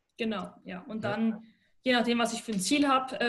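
Delivered at a fairly quick pace, the somewhat breathy voice has ordinary pitch variation and audible room echo. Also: woman. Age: 20s. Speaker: sports scientist and neuroathletics trainer. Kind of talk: podcast interview.

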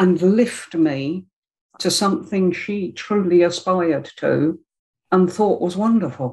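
Speaking very slowly with a South London accent, a woman uses a medium pitch, ordinary pitch variation and a somewhat breathy voice. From South London, Greenwich. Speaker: public speaking club member. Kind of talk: interview conversation. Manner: emotional, expressive.

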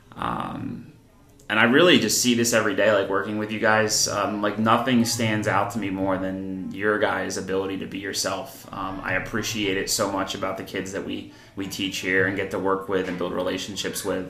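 A man with an American accent speaks at a moderate pace in a fairly low voice with fairly even intonation. Music plays in the background, and audible room echo is present. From New Jersey, Columbus near Trenton. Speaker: middle school teacher. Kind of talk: casual interview.

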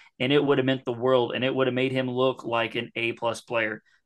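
At a fairly quick pace, a man speaks in an unremarkable speaking voice. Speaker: wrestling podcaster. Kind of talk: casual banter podcast with profanity.

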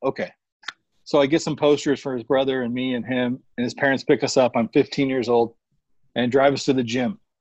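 In an American accent, a man speaks fairly quickly in a plain, everyday voice of medium pitch, with fairly even intonation and a dry, close sound with no echo. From Arizona, Phoenix area. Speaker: sneaker collector and social media personality. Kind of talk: casual chat.

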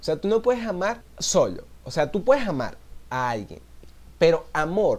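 With a Venezuelan accent, a man speaks at a fairly slow pace, his pitch swinging very widely. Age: 20s. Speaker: podcaster. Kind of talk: casual solo monologue.

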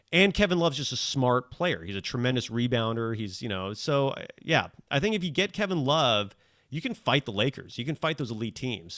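A man's bright, sharp, medium-pitched voice with very wide pitch swings at a fairly quick pace, on a very clean recording with a silent background. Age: 40s. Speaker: sports podcaster and professor. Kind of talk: casual chat.

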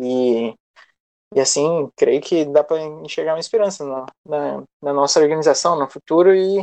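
The sound is dry and close, with no echo. A man talks at a fairly slow pace and fairly high pitch, with ordinary pitch variation. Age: 20s. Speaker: history student and youth activist. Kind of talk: casual discussion. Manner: halting, many fillers.

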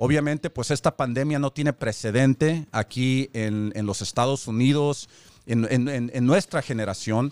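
A man's normal speaking voice at medium pitch, fairly slow with ordinary pitch variation, in a very clean recording with a silent background and a dry, close sound with no echo. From born in Mexico, raised in the US. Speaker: radio host, community leader. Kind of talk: radio talk show interview. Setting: radio studio, streamed on Facebook Live.

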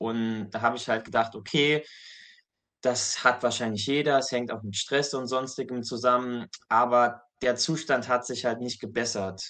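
Here a man talks at a fairly slow pace in an ordinary speaking voice. His intonation is fairly even, and the background is quiet. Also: medium pitch for a man. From Saarland, Germany. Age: 20s. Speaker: medical student. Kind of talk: testimony. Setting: video call.

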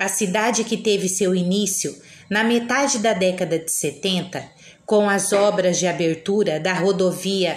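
A woman's medium-pitched voice at a very slow pace, with ordinary pitch variation, audible room echo and noticeable background noise. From Brazil, Paraná. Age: 40s. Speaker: teacher. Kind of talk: reading aloud. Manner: formal.

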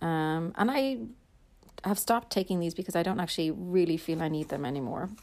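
A woman with an Irish accent speaks very fast in a fairly low voice with lively intonation, on a very clean recording with a silent background. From Ireland. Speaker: podcast host. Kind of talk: casual monologue. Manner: chatty.

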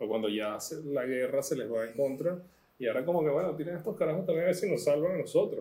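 A man's very fast delivery, fairly high in pitch, with a dark, mellow tone, vocal fry, lively intonation and audible room echo. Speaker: author. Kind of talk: casual chat. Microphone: poor quality audio.

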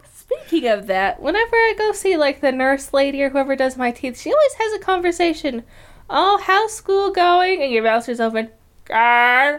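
The speaker has a Midwestern accent and very wide pitch swings at a moderate pace. The recording is very clean with a silent background. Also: woman, high pitch for a woman. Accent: American Midwest. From Michigan, US. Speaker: podcast co-host. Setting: living room at night.

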